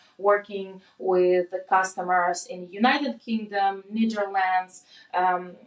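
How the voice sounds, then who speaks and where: Her intonation fairly even, a woman talks at medium pitch. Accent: Russian. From Russia, Moscow. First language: Russian. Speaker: product manager. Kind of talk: casual chat. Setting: in-person recording.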